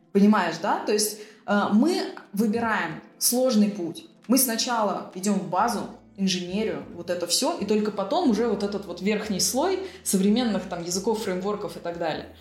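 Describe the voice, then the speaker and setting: A woman speaks at a medium pitch amid noticeable background noise and audible room echo. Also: ordinary pitch variation, moderate pace. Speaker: IT entrepreneur and programming school founder. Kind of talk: interview.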